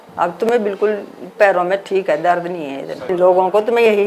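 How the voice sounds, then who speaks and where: Ordinary pitch variation from a woman, with noticeable background noise behind her. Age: 60s. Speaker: therapy client giving testimonial. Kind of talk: testimony.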